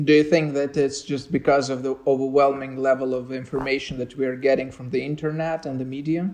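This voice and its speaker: This man speaks with a Romanian accent at a fairly quick pace, with hardly any pauses. His pitch is fairly high and his intonation monotone and flat. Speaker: podcast host. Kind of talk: podcast interview. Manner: hesitant.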